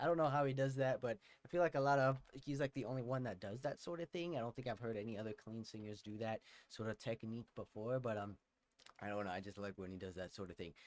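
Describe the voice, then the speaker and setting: At a very fast pace, a man speaks with ordinary pitch variation, the sound dry and close with no echo. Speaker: music reaction streamer. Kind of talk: livestream music reaction commentary. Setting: livestream from home. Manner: casual, lots of fillers and hesitations.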